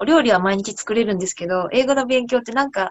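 A woman's normal speaking voice, fairly high in pitch, with ordinary pitch variation and a fairly quick pace. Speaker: cooking researcher. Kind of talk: casual chat.

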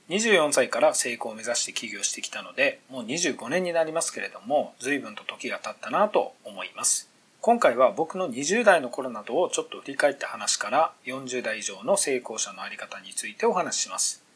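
A man at a moderate pace with hardly any pauses, big swings in loudness and noticeable background noise. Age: 40s. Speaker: entrepreneur podcaster. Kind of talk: solo monologue podcast.

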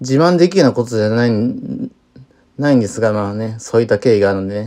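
A man is speaking here. His intonation is lively. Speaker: solo podcaster. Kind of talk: casual monologue. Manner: halting, many fillers.

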